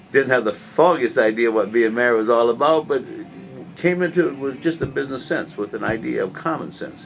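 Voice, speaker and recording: A man with an American accent talks at a fairly quick pace. Music plays in the background. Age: 60s. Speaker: political candidate. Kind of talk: interview. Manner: halting.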